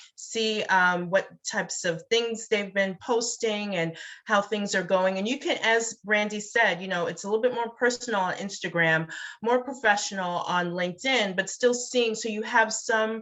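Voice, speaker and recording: An unremarkable speaking voice from a woman, fairly high in pitch, at a moderate pace with ordinary pitch variation. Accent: American. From Brooklyn, New York. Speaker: networking expert. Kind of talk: casual chat.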